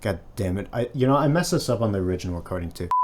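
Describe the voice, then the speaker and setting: With an American accent, a man speaks in a fairly low pitch. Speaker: gaming video essayist. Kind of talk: video essay narration. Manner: halting, many fillers.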